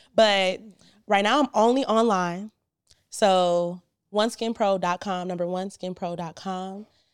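Speaking fairly slowly with an American accent, a woman has an ordinary speaking voice at medium pitch with fairly even intonation, in a very clean recording with a silent background. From Cleveland, Ohio. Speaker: skincare business owner. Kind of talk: casual chat. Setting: studio.

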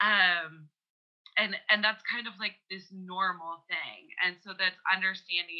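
A woman at medium pitch, fairly slow, with a Canadian accent and a plain, everyday voice. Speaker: podcast guest. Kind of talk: casual chat. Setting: remote call.

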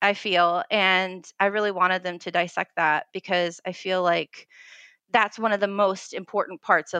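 In an American accent, a woman talks at a moderate pace with medium pitch, fairly even intonation and a bright, sharp tone, the sound dry and close with no echo over a quiet background. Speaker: history teacher. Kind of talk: interview.

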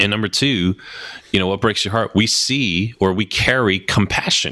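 A man speaks with an American accent. His tone is bright and sharp, and his pace is moderate. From New Jersey. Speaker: brand strategist. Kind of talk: interview.

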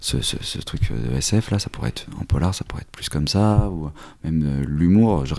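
This man's voice is very deep and low, with a dark, mellow tone. His intonation is lively. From Normandy, France. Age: 30s. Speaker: comic book writer. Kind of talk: interview. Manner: halting.

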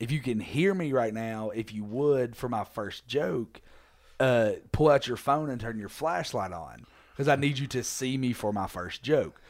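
In an ordinary speaking voice, a man speaks at a fairly slow pace with medium pitch and ordinary pitch variation, on a very clean recording with a silent background. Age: 20s. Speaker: comedian. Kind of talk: casual chat.

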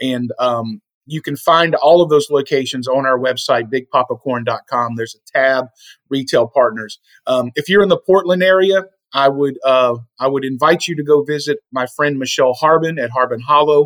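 Dry and close with no echo, a plain, everyday voice moves at a moderate pace with ordinary pitch variation. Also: man, fairly high pitch for a man. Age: 40s. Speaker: small business owner. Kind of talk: casual chat.

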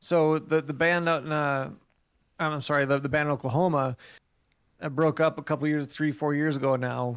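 A man with a plain, everyday voice speaks at a moderate pace in a fairly high pitch with fairly even intonation, in a very clean recording with a silent background. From US Midwest, northeast Wisconsin. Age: 40s. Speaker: musician. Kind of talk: casual chat.

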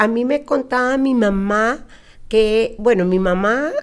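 This woman speaks with lively intonation. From Costa Rica. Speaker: Hebrew and preschool teacher. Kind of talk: interview. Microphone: too quiet, far from the mic.

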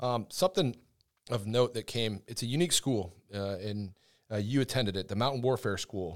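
In an American accent, a man talks at a fairly quick pace with an unremarkable speaking voice of medium pitch and ordinary pitch variation. The recording is very clean, with a silent background. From US Northeast. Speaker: podcast co-host, army public affairs sergeant. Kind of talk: interview. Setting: studio.

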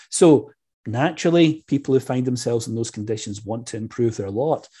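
Against a quiet background, a man with a Scottish accent speaks at a fairly quick pace in a somewhat breathy, dark, mellow tone, his medium pitch showing ordinary variation. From Scotland. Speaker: history professor. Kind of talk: interview on church history.

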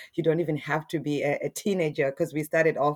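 A woman's very deep, low voice at a fairly quick pace. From Zimbabwe. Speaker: church member. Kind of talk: casual religious interview.

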